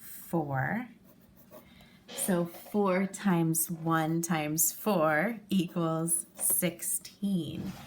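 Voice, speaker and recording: A woman talks at a very slow pace. Her pitch is fairly low. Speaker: elementary school teacher. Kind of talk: tutorial.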